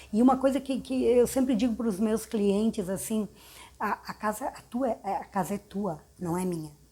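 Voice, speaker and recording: At a moderate pace, a woman speaks in a normal speaking voice, fairly high in pitch, with ordinary pitch variation. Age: 60s. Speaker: architect. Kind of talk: interview. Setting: her office.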